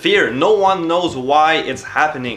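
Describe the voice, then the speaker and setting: Through noticeable background noise, a man with a non-native accent speaks at a fairly slow pace and fairly high pitch with ordinary pitch variation. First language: not English. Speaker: book reviewer, video creator. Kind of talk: book review vlog. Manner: hesitant, many fillers and restarts.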